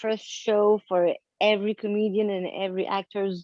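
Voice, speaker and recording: In a French accent, a woman speaks at a fairly quick pace with a medium pitch and monotone, flat intonation. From France. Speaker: comedian and actress. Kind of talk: casual chat. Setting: video call.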